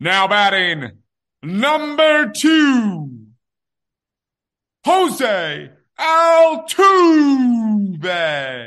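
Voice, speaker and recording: Putting on a character voice, a man speaks very slowly in a high pitch, with very wide pitch swings and long, frequent pauses. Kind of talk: formal announcer delivery.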